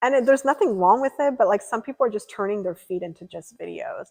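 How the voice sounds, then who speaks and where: An ordinary speaking voice from a woman moves at a fairly quick pace with ordinary pitch variation, dry and close with no echo against a quiet background. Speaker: streamer. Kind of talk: live stream chat.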